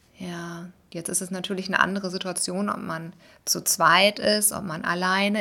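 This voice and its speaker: Speaking with flat, monotone intonation, a woman has a medium-pitched voice with a bright, sharp tone. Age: 30s. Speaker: vlogger and podcaster. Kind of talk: casual monologue. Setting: at home in living room. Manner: rambling with many fillers.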